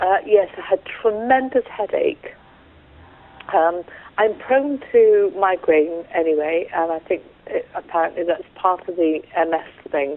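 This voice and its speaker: A woman with an English accent, medium in pitch, fairly slow and lively in intonation, over noticeable background noise. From England. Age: 60s. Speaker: patient sharing experience. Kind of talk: interview testimony. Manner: halting.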